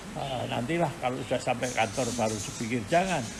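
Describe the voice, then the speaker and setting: A man with ordinary pitch variation, music in the background. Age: 80s+. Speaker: elderly interviewee recalling the New Order era. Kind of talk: interview. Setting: video-recorded home interview by school students. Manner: hesitant, frequent filler sounds.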